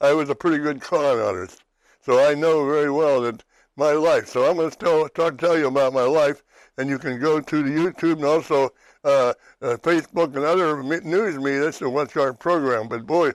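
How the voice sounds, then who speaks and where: With a western Pennsylvania accent, a man speaks at a moderate pace in a fairly high pitch with ordinary pitch variation, on a very clean recording with a silent background. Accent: western Pennsylvania American. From western Pennsylvania, New Castle. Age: 80s+. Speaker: TV talk show host. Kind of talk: casual chat. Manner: halting.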